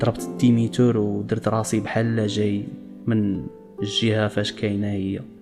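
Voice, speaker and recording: Over music in the background, a man with a fairly low pitch speaks at a moderate pace with fairly even intonation. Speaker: storyteller. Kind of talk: first-person story narration.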